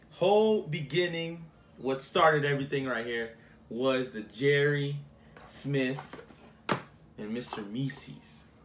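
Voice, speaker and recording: A man speaking at a very slow pace over noticeable background noise. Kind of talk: casual vlog chat. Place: home room. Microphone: phone near.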